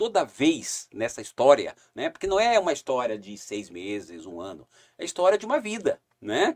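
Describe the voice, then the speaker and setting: The speaker is a man. His pitch makes very wide swings. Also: dry, close sound with no echo. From southern Brazil, Paraná (Curitiba, then Foz do Iguaçu). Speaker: tourism company CEO. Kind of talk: casual interview chat.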